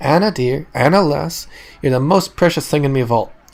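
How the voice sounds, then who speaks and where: A man puts on a croaky character voice, fairly high in pitch, with ordinary pitch variation at a moderate pace. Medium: actual play.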